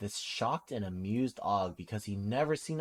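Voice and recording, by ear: The intonation moves in a lively way. A passage is read aloud in a natural voice.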